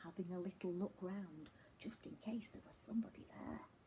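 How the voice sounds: A natural reading voice carries the clip.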